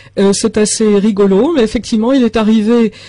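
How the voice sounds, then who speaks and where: A somewhat breathy delivery at a moderate pace. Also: woman. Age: 60s. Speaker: author of a health book. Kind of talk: radio interview with call-in.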